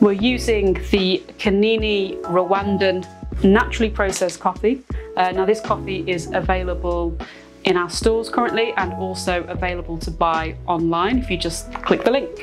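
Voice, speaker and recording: Clear music runs in the background. Over it, a woman speaks at a moderate pace. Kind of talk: tutorial. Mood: relaxed, lightly playful. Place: studio. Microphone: lapel.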